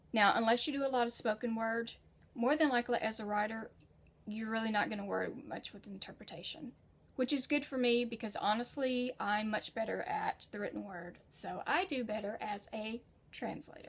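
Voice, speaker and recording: A woman with an unremarkable speaking voice, fairly high in pitch, with ordinary pitch variation, an American accent and a moderate pace. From United States. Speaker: freelance writer and translator. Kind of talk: tutorial. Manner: casual.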